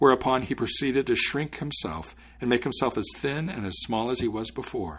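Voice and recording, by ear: Text read aloud in a natural voice, pitch varying in an ordinary way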